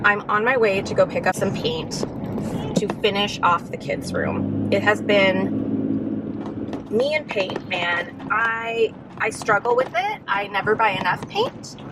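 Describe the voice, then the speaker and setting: Noticeable background noise fills the recording. Through it, a woman talks at a very slow pace. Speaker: lifestyle vlogger. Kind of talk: casual vlog. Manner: loud, shouting; loud by nature.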